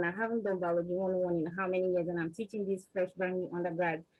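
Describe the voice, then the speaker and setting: Speaking with a Nigerian accent, a woman talks at a very fast pace and a medium pitch. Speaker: research scientist, panelist. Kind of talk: panel discussion. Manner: animated.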